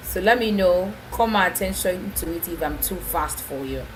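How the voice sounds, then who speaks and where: Background noise is noticeable as the woman talks. The room adds an audible echo to her words. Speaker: program manager and webinar speaker. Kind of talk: webinar presentation. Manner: fast.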